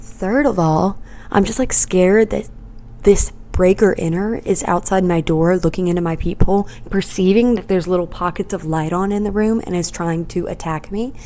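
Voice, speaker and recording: Soft-spoken, a woman talks at a medium pitch and a moderate pace with ordinary pitch variation. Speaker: podcast host. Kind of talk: casual chat. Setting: at home in apartment. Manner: quiet, soft-spoken.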